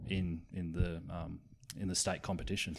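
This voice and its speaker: Heard in a very clean recording with a silent background, a man speaks with an Australian accent. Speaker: podcast co-host. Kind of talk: casual interview chat.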